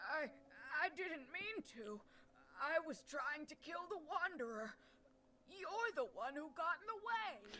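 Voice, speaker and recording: A woman's shaky, put-on character voice at an extremely high pitch, with very wide pitch swings, a fairly slow pace and long, frequent pauses, over light background noise. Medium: virtual streamer. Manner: trembling, frightened.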